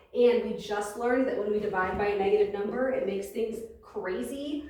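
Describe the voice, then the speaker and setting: A woman's medium-pitched voice at a fairly quick pace, ordinary pitch variation, audible room echo and noticeable background noise. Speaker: math teacher. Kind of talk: lecture. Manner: loud. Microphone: no microphone today, may be hard to hear.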